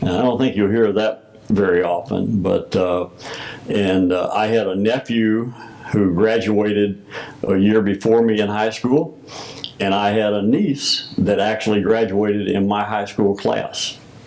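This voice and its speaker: Amid noticeable background noise, a man with an American accent speaks fairly slowly at a fairly low pitch with fairly even intonation. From US South, Missouri Bootheel. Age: 70s. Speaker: retired Freemason grand master. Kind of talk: interview. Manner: hesitant with many fillers.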